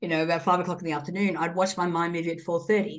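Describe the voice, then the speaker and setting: A woman speaks with an Australian accent. Her pitch is fairly low. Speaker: entrepreneur and guest. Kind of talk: interview chat.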